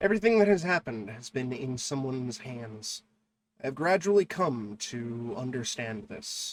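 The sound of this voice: This is an unforced reading voice. Intonation is lively over a quiet background.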